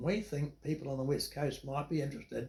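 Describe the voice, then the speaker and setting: This man has a New Zealand accent and a medium pitch. He sounds somewhat breathy and keeps a moderate pace. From New Zealand, Dunedin area. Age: 80s+. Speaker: retired businessman. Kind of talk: interview storytelling.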